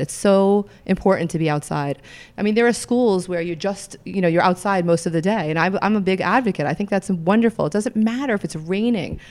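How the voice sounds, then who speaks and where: Medium in pitch with ordinary pitch variation, a woman talks at a moderate pace in a plain, everyday voice on a very clean recording with a silent background. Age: 50s. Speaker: yoga teacher and wellness manager. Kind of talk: interview. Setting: studio.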